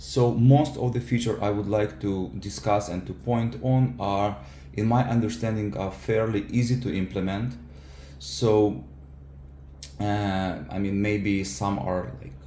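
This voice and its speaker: A man's fairly low, somewhat breathy voice, dark and mellow, fairly slow with lively intonation, and audible room echo. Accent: non-native. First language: not English. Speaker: software engineer and keyboard user. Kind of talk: product feedback tutorial. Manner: halting, many fillers.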